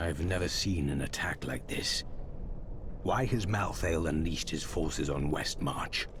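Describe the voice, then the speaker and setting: A put-on character voice from a man, very deep and low, at a moderate pace over loud background noise. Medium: video game. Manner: terse, grave.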